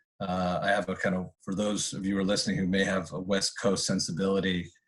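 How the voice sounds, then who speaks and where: A man speaks at a very fast pace in a very deep, low pitch. His intonation stays monotone and flat. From Canada. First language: Spanish. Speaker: campus director and history professor. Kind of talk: casual interview. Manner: halting, many fillers.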